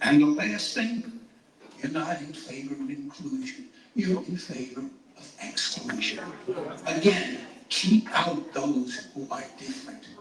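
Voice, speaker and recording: With noticeable background noise and audible room echo, a man speaks fairly slowly in a high pitch, with very wide pitch swings and big swings in loudness. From New York City, Lower East Side. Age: 80s+. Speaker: town hall speaker, activist. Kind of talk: public speech at town hall. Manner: impassioned.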